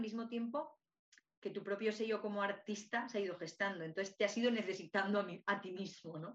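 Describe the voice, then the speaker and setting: A woman talks at a fairly quick pace, with ordinary pitch variation. She has an unremarkable speaking voice. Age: 30s. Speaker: podcast host, holistic artist. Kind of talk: casual interview chat.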